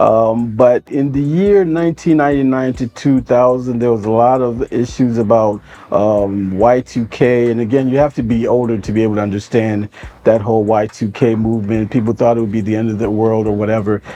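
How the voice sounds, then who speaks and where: With an American accent, a man speaks at a moderate pace in a medium pitch with ordinary pitch variation over noticeable background noise. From US Midwest, Cleveland, Ohio. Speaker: nonprofit founder. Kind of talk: interview monologue. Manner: hesitant, many fillers.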